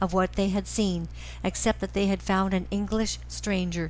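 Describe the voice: The clip is plain reading aloud, its intonation fairly even.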